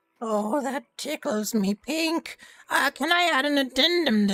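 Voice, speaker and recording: A put-on character voice, female-sounding, high-pitched and strained, at a fairly slow pace. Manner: sarcastic, put-on character voice.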